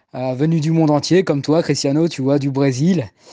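A man's dark, mellow tone comes through with a quiet background. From Paris, France. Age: 30s. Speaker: cruise ship passenger host. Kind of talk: interview.

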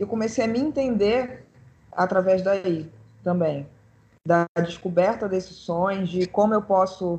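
A woman's plain, everyday voice, medium in pitch with ordinary pitch variation. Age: 30s. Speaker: pianist and composer. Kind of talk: casual chat.

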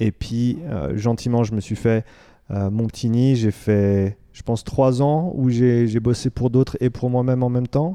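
A man speaks at medium pitch with a dark, mellow tone and fairly even intonation. The sound is dry and close with no echo over a quiet background. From Switzerland. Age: 30s. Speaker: fitness coach. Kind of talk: interview. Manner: hesitant with fillers.

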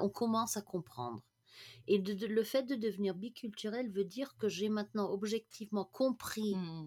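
A woman's medium-pitched, normal speaking voice at a moderate pace, with a dry, close sound and no echo. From international upbringing, mainly Germany. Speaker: management coach. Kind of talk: casual interview chat.

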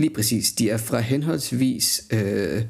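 A man speaks with a dark, mellow tone. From Denmark, Jutland (Højslev near Skive). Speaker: podcast co-host. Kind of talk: casual chat. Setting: studio. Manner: halting, many fillers.

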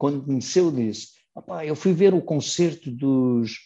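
Against a quiet background, a man with a fairly high pitch and a dark, mellow tone speaks with ordinary pitch variation. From Portugal, Matosinhos. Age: 70s. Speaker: rock singer. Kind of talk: interview. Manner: animated; halting.

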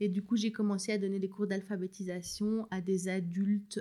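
A woman with a dark, mellow tone speaks fairly slowly on a very clean recording with a silent background. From rural Belgium. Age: 30s. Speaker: new mother, former literacy teacher. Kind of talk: casual interview. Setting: at home with baby in a sling.

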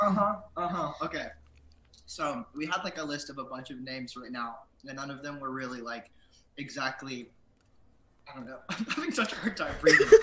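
A man's fairly high voice at a fairly quick pace, with long, frequent pauses, big swings in loudness and noticeable background noise. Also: ordinary pitch variation. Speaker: band member, songwriter. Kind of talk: casual interview.

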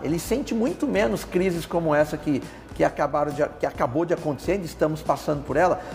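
Over noticeable background noise, a man with a fairly high pitch speaks at a fairly quick pace. His loudness is very even, and his pitch varies in an ordinary way. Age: 40s. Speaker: pharmaceutical industry executive. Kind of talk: interview.

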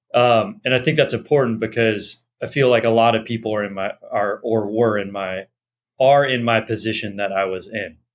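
This man has a medium pitch and fairly even intonation. He keeps a moderate pace. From Los Angeles, US. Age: 30s. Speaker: Ayurvedic doctor. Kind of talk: interview conversation.

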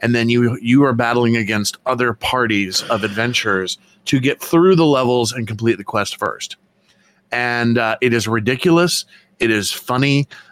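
Recorded dry and close with no echo, a man with a normal speaking voice talks at a moderate pace and medium pitch with ordinary pitch variation. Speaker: artist and convention vendor. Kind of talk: casual chat.

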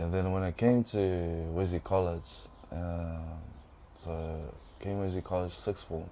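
A man with a Tongan accent, very deep and low in pitch, with a dark, mellow tone, ordinary pitch variation, a fairly slow pace and long, frequent pauses. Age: 20s. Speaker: environmental scientist. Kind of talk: interview. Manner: halting.

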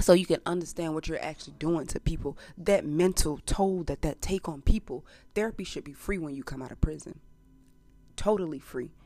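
With music in the background, a woman speaks at a fairly quick pace and fairly low pitch in an animated tone, her loudness swinging widely. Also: ordinary pitch variation. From US South, Montgomery, Alabama. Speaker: podcast host. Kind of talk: casual monologue.

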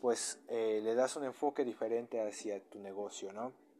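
A man's dark, mellow tone at medium pitch, fairly slow, with fairly even intonation. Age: 20s. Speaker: podcaster on business topics. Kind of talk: solo educational monologue. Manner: halting, with frequent repetitions and fillers.

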